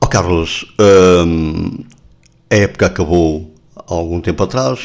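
Speaking at a very slow pace, a man uses a very deep, low pitch with ordinary pitch variation. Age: 60s. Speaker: radio host. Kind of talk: radio interview.

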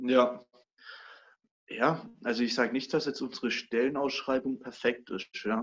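At a fairly slow pace, a man speaks at a medium pitch with fairly even intonation and long, frequent pauses. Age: 20s. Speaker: master baker. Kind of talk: casual interview chat.

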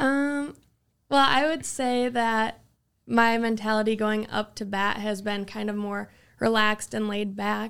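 With an unremarkable speaking voice, a woman talks at a fairly slow pace and fairly high pitch, her intonation fairly even, on a very clean recording with a silent background. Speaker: college softball player. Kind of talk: interview.

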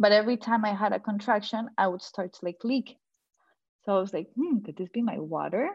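A woman talks at a fairly quick pace with a fairly high pitch, ordinary pitch variation and a somewhat breathy voice. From Colombia. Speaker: mother sharing birth story. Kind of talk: casual interview, personal story.

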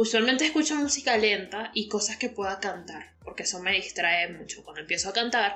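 Amid noticeable background noise, a woman with a Venezuelan accent speaks fairly quickly at a medium pitch. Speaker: podcast co-host. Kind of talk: casual chat.

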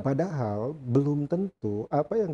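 Somewhat breathy and dark, mellow in tone, a man speaks with lively intonation at a fairly high pitch, the sound dry and close with no echo. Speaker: law professor and dean, podcast host. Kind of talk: interview podcast. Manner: energetic.

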